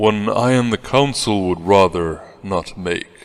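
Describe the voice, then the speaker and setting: A man uses a put-on character voice, fairly low in pitch, at a fairly slow pace. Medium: audio drama. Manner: formal, earnest.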